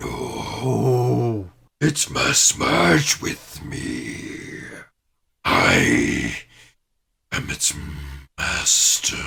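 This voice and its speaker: In a raspy, put-on character voice, the speaker talks at a very slow pace with long, frequent pauses. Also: man, very deep, low pitch for a man. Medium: actual play. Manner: imperious, grandiose.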